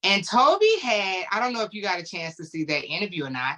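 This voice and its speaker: This woman speaks with a St. Louis accent at a fairly quick pace, her pitch in the medium range. Her tone is animated and her intonation lively. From St. Louis, US Midwest. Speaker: gospel interview show host. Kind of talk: interview.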